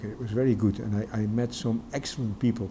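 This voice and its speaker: A man with a Dutch accent talks at a fairly quick pace. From Netherlands. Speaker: educator and Sikh community worker. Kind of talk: interview. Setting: studio. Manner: halting, many repetitions.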